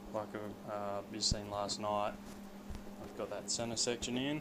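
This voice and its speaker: Through noticeable background noise, a man speaks at a fairly slow pace. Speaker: hobby fabricator. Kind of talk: casual DIY build vlog talk to camera. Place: garage. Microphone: phone near.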